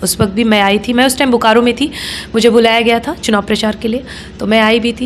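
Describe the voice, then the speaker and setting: A woman with a fairly high pitch and fairly even intonation speaks against noticeable background noise. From Jamui, Bihar, India. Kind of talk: interview answer.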